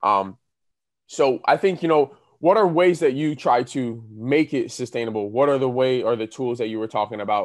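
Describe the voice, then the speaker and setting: Over a quiet background, a man of medium pitch speaks in an ordinary speaking voice at a moderate pace with lively intonation. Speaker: podcast host. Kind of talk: podcast interview. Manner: joking.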